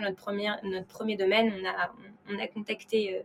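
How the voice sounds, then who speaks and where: A woman's medium-pitched voice at a moderate pace, with noticeable background noise. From France (Paris). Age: 20s. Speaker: wine startup co-founder. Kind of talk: interview conversation. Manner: hesitant with repetitions.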